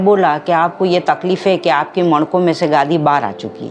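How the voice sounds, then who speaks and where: A woman's voice shows ordinary pitch variation while music plays behind her. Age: 60s. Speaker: patient. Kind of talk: testimony.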